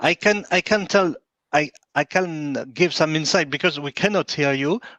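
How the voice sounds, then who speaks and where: With a French accent, a man speaks at a fairly slow pace and with ordinary pitch variation, the sound dry and close with no echo over a quiet background. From France. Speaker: event organizer, secretary general. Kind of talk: closing remarks at virtual conference. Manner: halting, many hesitations.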